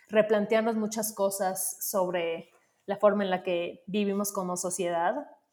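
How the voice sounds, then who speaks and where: At a very slow pace, a woman speaks in a medium pitch with monotone, flat intonation. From Mexico, Yucatán (Mérida). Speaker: creative, diversity advocate. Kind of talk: casual chat.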